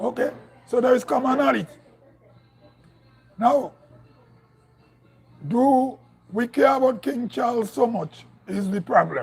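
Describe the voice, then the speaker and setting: With music in the background, a man in a northern Grenadian accent speaks at an extremely high pitch with ordinary pitch variation and long, frequent pauses. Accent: northern Grenadian, like Carriacou. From Grenada, Saint Patrick Parish. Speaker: political commentator. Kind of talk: live stream commentary. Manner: halting, repeats words.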